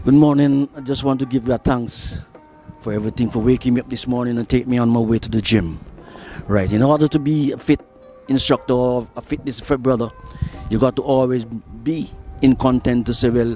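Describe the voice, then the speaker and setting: Over music in the background, a man speaks at a medium pitch with fairly even intonation. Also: fairly quick pace. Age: 70s. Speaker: gym enthusiast. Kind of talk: casual talk to camera.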